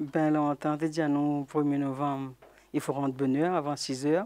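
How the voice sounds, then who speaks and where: Against a quiet background, a woman with a very deep, low pitch and a dark, mellow tone speaks at a moderate pace in a monotone, flat intonation. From Réunion, Trois-Bassins. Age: 70s. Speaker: elderly interviewee sharing memories. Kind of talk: oral history testimony. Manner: halting.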